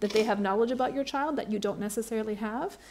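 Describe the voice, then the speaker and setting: On a very clean recording with a silent background, a woman speaks in a plain, everyday voice at a fairly high pitch with ordinary pitch variation. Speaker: philosophy professor. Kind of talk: panel Q&A answer. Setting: conference with audience.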